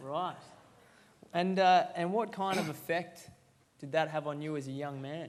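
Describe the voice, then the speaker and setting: With an Australian accent, a man speaks at a moderate pace in a fairly high pitch and fairly even intonation, leaving long, frequent pauses, with audible room echo. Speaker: event host. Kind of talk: interview. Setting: stage with audience.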